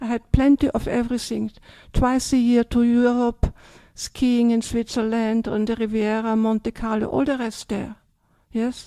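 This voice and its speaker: In an Austrian accent, a woman with a fairly high pitch and a dark, mellow tone talks in a monotone, flat way, recorded very clean with a silent background and a dry, close sound with no echo. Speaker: Buddhist nun. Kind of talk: dharma talk Q&A. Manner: hesitant, many fillers.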